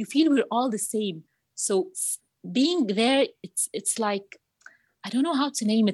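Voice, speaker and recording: Against a quiet background, a woman with an Arabic accent speaks at a fairly high pitch with lively intonation, her voice somewhat breathy and the sound dry and close with no echo. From Egypt, Cairo. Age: 30s. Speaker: marketing manager and youth coach. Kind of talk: interview testimony. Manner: halting, repetitive.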